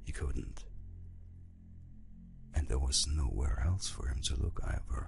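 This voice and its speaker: With music in the background, a man speaks at a very slow pace in a very deep, low pitch with fairly even intonation. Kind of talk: audiobook reading.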